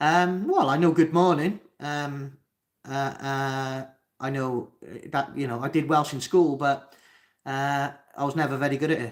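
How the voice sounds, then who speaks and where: Speaking with a Cardiff accent, a man has a fairly high pitch and fairly even intonation at a fairly slow pace. The recording is very clean, with a silent background. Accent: Cardiff accent, sometimes heard as Spanish. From Wales, Cardiff. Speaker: mental health livestreamer. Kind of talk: live Q&A reading chat comments. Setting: livestream at home.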